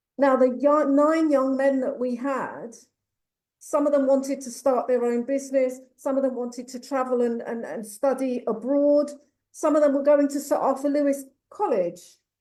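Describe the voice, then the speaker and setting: With an English accent, a woman speaks at a moderate pace in a high pitch, with a dark, mellow tone and fairly even intonation. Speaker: youth mentoring program founder. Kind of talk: panel discussion.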